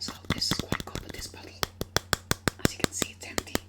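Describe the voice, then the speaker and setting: Whispering over noticeable background noise. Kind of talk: ASMR shop role-play, customer service talk.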